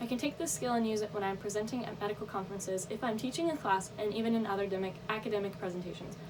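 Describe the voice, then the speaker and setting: Over music in the background and audible room echo, a woman with a fairly high pitch speaks at a very fast pace with hardly any pauses and ordinary pitch variation. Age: young. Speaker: college student. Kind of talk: speech.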